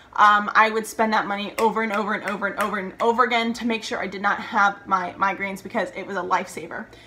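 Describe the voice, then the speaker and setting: The speech is very fast with monotone, flat intonation. Noticeable background noise can be heard. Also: woman, medium pitch for a woman. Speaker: vlogger. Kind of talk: casual vlog talk to camera.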